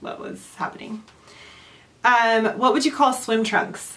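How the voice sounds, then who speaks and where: This woman has an American accent. Her pitch is fairly high. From California, USA. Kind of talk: casual talk to camera.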